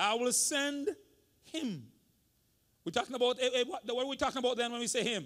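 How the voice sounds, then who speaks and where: With an animated tone and an extremely high pitch, a man talks at a moderate pace, leaving long, frequent pauses. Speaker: senior pastor. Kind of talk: sermon. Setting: church.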